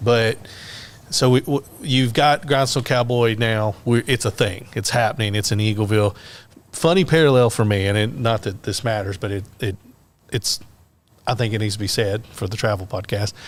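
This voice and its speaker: In a Middle Tennessee accent, a man speaks at a moderate pace and medium pitch. His pitch varies in an ordinary way. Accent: Southern US (Middle Tennessee). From Tennessee, Lynchburg area. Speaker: podcast host, tourism worker. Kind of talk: casual interview.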